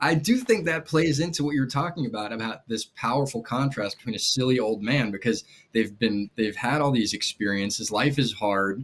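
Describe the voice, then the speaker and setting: With an American accent, a man with a plain, everyday voice talks at medium pitch and a moderate pace, with lively intonation and hardly any pauses. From New York, Rockland County. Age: 30s. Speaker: magician and children's author. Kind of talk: casual chat.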